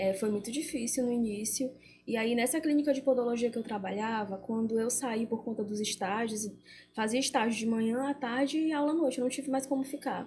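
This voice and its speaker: Speaking at a fairly quick pace, a woman has a high, dark, mellow voice with ordinary pitch variation. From Brazil, countryside. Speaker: beautician and entrepreneur. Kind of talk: interview.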